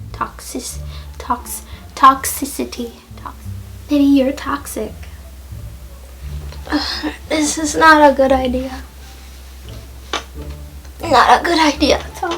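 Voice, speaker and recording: A woman talks at a very slow pace with long, frequent pauses and big swings in loudness. Noticeable background noise sits behind her. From Jamaica. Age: 20s. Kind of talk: casual talk to camera.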